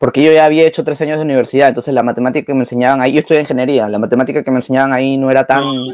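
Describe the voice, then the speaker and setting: Hardly pausing at all, a man rattles along very fast at a medium pitch, monotone and flat, in a dry, close recording with no echo. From Peru. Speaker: podcast host, university student. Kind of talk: casual conversation.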